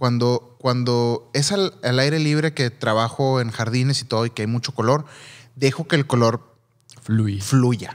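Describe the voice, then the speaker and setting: In a Mexican accent, a man speaks at a fairly slow pace. His pitch varies in an ordinary way, and the background is quiet. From Mexico. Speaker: photographer and videographer podcast co-host; videographer podcast co-host. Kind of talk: casual chat. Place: studio. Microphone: studio mic.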